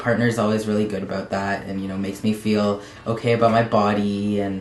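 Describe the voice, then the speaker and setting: Over noticeable background noise and audible room echo, a man speaks with fairly even intonation at a fairly low pitch. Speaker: transgender video blogger. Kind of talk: personal vlog update. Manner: halting, many fillers.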